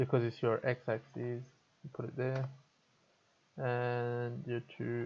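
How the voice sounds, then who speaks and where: A man at a medium pitch, very slow, with monotone, flat intonation and long, frequent pauses. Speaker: video editing tutor streamer. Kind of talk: tutorial. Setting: live stream. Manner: casual, hesitant with fillers.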